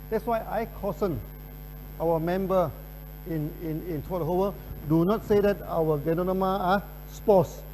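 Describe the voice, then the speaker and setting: A man speaks at a high pitch with fairly even intonation. His pace is fairly slow, broken by long, frequent pauses. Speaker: company presenter. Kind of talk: product presentation. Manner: repetitive stammering.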